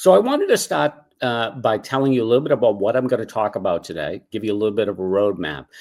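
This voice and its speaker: With an American accent, a man at medium pitch talks at a very fast pace with lively intonation. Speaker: cause marketing consultant. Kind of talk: webinar presentation. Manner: casual, filler words.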